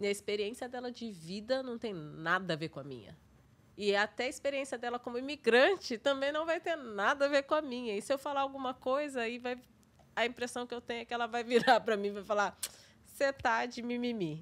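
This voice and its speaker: Speaking at a fairly quick pace, a woman with a high pitch uses lively intonation and an animated tone. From Brazil. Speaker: podcast host. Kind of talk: casual chat. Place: studio. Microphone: studio mic.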